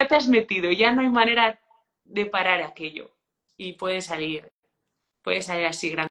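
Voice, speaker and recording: Pitch swings very widely as a woman speaks at a moderate pace. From Spain, rural León province. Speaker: hospitality business owner. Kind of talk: interview.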